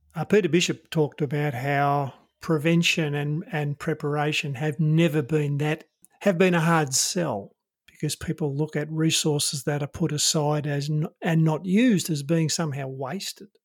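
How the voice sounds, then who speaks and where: Somewhat breathy and fairly high-pitched, a man with an Australian accent talks at a moderate pace with ordinary pitch variation. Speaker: podcast host. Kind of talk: interview conversation.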